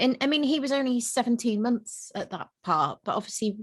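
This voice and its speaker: This woman has a British accent and a fairly high pitch. She talks at a fairly quick pace. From UK. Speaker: vegan family content creator, mother. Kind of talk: casual interview chat.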